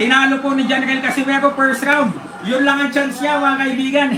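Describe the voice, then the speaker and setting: An excited, animated voice is raised and projected over noticeable background noise. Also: man. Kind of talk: live sports commentary. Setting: watching a live boxing match. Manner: excited, shouting and animated, calling each punch in real time; fast, punchy, choppy delivery with interjections and filler.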